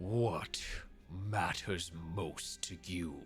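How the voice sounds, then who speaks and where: Over clear background noise, a man does a put-on character voice, growling at a very deep, low pitch. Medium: actual play. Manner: slow, solemn.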